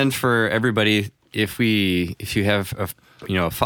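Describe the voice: The text is read out plainly. It is plain reading aloud.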